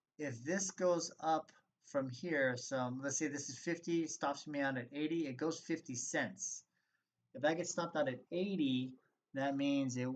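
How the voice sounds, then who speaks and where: A man with an unremarkable speaking voice talks at a fairly slow pace and fairly high pitch. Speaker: stock trading educator. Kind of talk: tutorial. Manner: casual, with many fillers.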